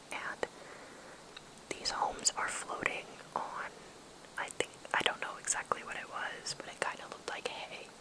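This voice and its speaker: A woman whispers in a gentle tone over noticeable background noise. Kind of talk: ASMR travel guide, whispered to camera. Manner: whispered, soft, gentle.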